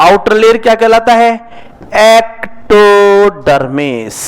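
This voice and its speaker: A man's high-pitched voice over noticeable background noise. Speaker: zoology teacher. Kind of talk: lecture. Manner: slow.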